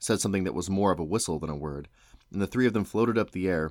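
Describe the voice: Simple, plain reading aloud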